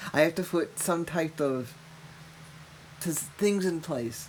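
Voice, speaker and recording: A woman with a Massachusetts accent, very slow, with ordinary pitch variation. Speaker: mother of the podcast host, cancer patient. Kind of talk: casual chat. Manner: animated.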